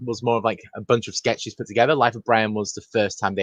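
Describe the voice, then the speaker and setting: Speaking very fast with a British accent, a man keeps his intonation fairly even, the sound dry and close with no echo. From Britain. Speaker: film podcast guest. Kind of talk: casual chat.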